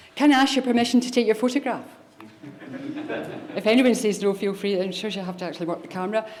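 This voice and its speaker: In a Scottish accent, a woman speaks with fairly high pitch and ordinary pitch variation, with audible room echo and noticeable background noise. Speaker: government chief pharmacist. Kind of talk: conference keynote speech. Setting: stage with audience. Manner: fast.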